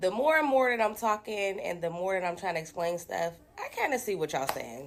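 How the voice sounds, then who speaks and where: A raspy put-on character voice in a New Orleans accent, fairly quick, with very wide pitch swings. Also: woman, medium pitch for a woman. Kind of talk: casual conversation.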